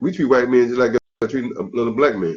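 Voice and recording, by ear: This man speaks at a fast pace.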